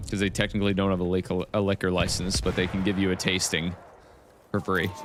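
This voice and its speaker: Over music in the background, a man talks very fast in an animated tone, his very deep, low pitch held at very even loudness. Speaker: gaming streamer. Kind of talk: live gameplay stream chat. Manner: casual, animated.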